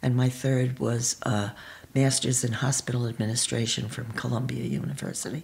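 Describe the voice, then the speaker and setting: Over noticeable background noise, a woman with a New York accent speaks at a moderate pace in a very deep, low voice with fairly even intonation. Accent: New York American. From New York, Pelham (Westchester). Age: 80s+. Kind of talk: interview.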